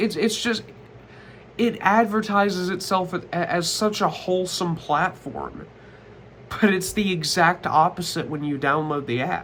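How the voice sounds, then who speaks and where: At a fairly slow pace, a man speaks in a high pitch with ordinary pitch variation. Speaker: commentary youtuber. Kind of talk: casual vlog monologue. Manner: stuttering.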